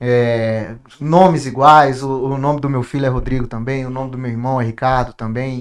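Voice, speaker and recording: A man's medium-pitched voice keeps a moderate pace, his intonation fairly even. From Brasília, Brazil. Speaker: industry manager. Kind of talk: podcast conversation. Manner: halting, frequent repetitions.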